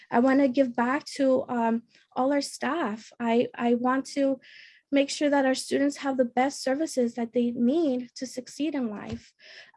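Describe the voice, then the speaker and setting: A woman with an American accent, high-pitched and fairly slow, her intonation fairly even. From Montebello, Los Angeles area. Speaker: school board candidate. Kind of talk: candidate pitch speech. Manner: hesitant with fillers.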